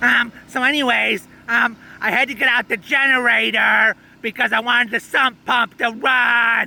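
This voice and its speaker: In a cartoonish character voice, a man talks at a moderate pace with an extremely high pitch. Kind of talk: mock live news report. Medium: puppet. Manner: hesitant, full of ums.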